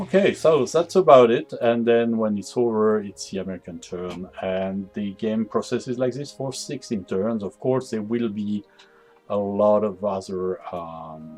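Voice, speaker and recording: Over music in the background, a man with a French accent speaks fairly slowly at a fairly low pitch, with ordinary pitch variation and big swings in loudness. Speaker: game developer demonstrating a strategy game. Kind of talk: gameplay tutorial. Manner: hesitant, many fillers.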